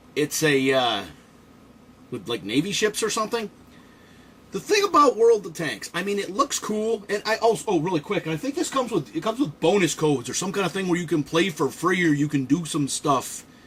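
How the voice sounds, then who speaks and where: A man talks in an animated tone at a fairly quick pace, his high voice swinging very widely in pitch. Noticeable background noise runs underneath. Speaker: toy reviewer and Marine veteran. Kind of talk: casual build commentary. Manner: fast.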